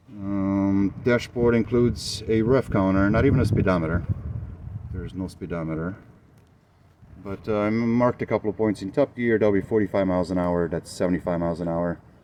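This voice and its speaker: With a Romanian accent, a man speaks in a fairly low, dark, mellow tone at a fairly quick pace, his pitch varying in an ordinary way. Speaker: motorcycle builder. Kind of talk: video walkthrough of a custom motorcycle. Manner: hesitant, many fillers.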